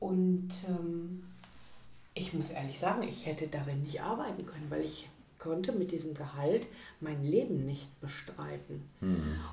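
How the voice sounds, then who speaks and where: With a very deep, low pitch, a woman talks at a fairly slow pace with lively intonation. Audible room echo and noticeable background noise run through the clip. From Ruhr area, Germany (Bochum/Gelsenkirchen). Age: 50s. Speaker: tutor and language support teacher. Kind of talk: interview.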